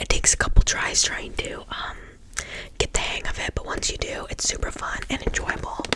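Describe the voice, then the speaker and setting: Noticeable background noise fills the clip. A woman is whispering, fairly slowly. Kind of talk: ASMR board game show-and-tell, casual talk to camera. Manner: casual, friendly, chatty.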